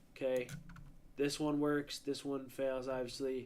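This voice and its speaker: A quiet man's voice at medium pitch, moderate in pace. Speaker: day trader streaming live. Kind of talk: live trading stream with chat. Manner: casual, filler-heavy; a little quiet at first. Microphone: mic was a bit far away.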